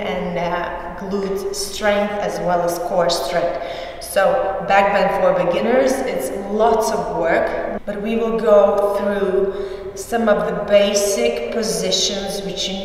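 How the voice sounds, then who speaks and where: Room echo is strong as a woman speaks at a very slow pace. Her pitch variation is ordinary. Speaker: pole dance instructor. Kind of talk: tutorial. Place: gym. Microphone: camera far.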